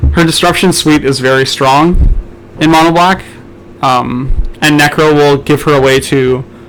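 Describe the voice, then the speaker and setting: A man talks at a fairly slow pace with fairly even intonation and a fairly high pitch. Noticeable background noise runs underneath. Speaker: draft commentator. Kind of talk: live commentary. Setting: live stream. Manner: loud.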